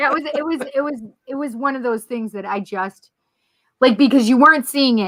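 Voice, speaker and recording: A woman's animated voice with lively intonation. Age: 50s. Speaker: talk radio co-host. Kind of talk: casual chat.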